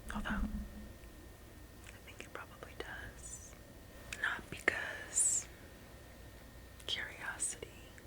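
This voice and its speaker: Long, frequent pauses break up a very slow whisper, with noticeable background noise underneath. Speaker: ASMR creator. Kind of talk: ASMR whispered relaxation talk. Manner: whispered, soft-spoken.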